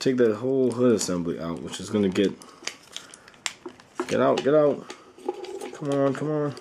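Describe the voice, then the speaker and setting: A man at medium pitch with big swings in loudness and long, frequent pauses, over noticeable background noise. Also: lively intonation, moderate pace. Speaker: toy reviewer. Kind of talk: product review. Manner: casual, halting.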